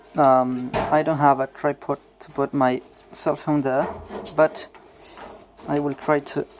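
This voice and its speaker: A man's fairly high, monotone voice with a Spanish accent, fairly slow with long, frequent pauses, in a dry, close sound with no echo over noticeable background noise. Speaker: hobbyist gunsmith vlogger. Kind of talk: casual show-and-tell video. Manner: halting, with many fillers.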